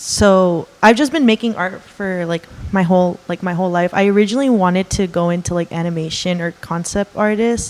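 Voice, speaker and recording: A woman with a Californian accent speaks fairly quickly at a medium pitch, with ordinary pitch variation and hardly any pauses. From Los Angeles, San Fernando Valley. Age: 20s. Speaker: art student. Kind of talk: interview. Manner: hesitant, many fillers.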